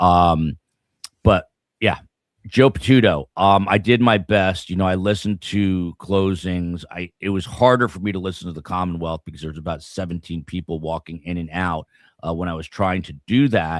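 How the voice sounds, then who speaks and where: A man's very deep, low voice at a moderate pace, with big swings in loudness and ordinary pitch variation, dry and close with no echo, on a very clean recording with a silent background. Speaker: true crime show host. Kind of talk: live stream legal commentary. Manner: many fillers, halting.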